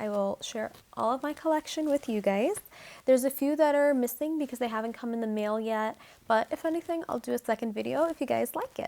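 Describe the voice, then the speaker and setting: A soft-spoken voice with a dark, mellow tone and an American accent, at a fairly quick pace with ordinary pitch variation. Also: woman, high pitch for a woman. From New Mexico, USA. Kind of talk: soft-spoken ASMR crystal collection show-and-tell to camera. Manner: soft-spoken, calming, friendly.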